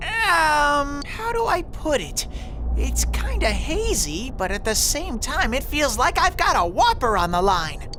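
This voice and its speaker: Someone uses a put-on character voice at a fairly slow pace. Loud background noise runs under the speech. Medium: video game. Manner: bubbly, playful.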